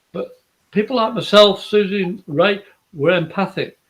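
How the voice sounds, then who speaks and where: The man speaks with an English accent. His pace is moderate. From England. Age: 60s. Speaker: psychic medium. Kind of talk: live psychic reading show. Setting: live video stream.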